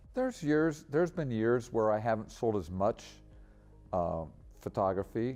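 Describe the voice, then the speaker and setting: A man at a moderate pace with very wide pitch swings, long and frequent pauses, and music in the background. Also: medium pitch for a man. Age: 60s. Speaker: photographer. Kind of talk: interview. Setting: art center.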